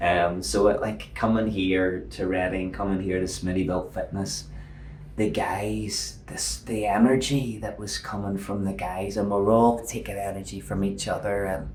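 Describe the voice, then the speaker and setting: A man's fairly low voice at a moderate pace, with ordinary pitch variation and audible room echo. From Northern Ireland. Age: 50s. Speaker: fitness coach. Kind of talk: podcast interview.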